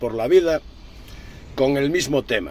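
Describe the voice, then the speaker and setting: Using lively intonation, a man talks at a medium tempo. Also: dry sound with no echo. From Galicia, Spain. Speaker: truck driver vlogger. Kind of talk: rant. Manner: animated. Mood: indignant, sarcastic. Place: car. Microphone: phone near.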